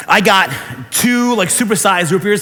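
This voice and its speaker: An animated man with an American accent raises and projects his voice amid noticeable background noise and audible room echo. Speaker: pastor. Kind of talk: sermon. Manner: fast.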